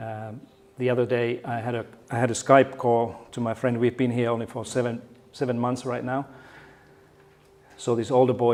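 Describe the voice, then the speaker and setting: A medium-pitched man at a moderate pace. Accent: Finnish. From Finland. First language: Finnish. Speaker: keynote speaker, education researcher and former teacher. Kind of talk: conference keynote talk. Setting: stage with audience. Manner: halting, with many fillers and repetitions.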